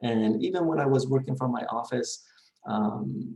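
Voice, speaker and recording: A man's medium-pitched voice with a dark, mellow tone and a non-native accent. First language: not English. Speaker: college instructor. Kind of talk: recorded course introduction. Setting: recording from home. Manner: hesitant, many fillers.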